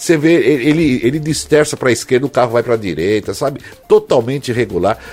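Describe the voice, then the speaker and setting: Noticeable background noise sits behind a man's fairly high voice. He talks at a fairly quick pace. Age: 60s. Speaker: radio host. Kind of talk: casual chat.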